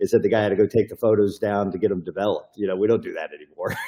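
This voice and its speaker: A man talks with a Texan accent. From Texas. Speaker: private investigator and attorney. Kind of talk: podcast interview. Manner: casual, with many fillers.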